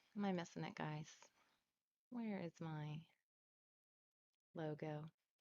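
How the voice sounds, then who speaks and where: Soft-spoken, a woman talks at a very slow pace in a fairly low pitch. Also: long, frequent pauses. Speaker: online marketing trainer. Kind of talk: live screen-share tutorial. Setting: livestream with chat. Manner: casual.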